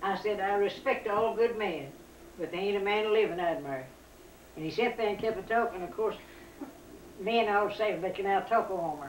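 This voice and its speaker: A woman with an Appalachian accent, medium pitch and ordinary pitch variation, talking at a fairly quick pace with long, frequent pauses and audible room echo. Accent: Appalachian Southern. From US South. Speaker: family elder. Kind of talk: storytelling.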